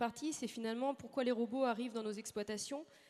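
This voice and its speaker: With ordinary pitch variation, the woman talks in a fairly high voice. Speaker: agricultural research station manager. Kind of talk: conference talk. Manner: fast; hesitant, frequent fillers.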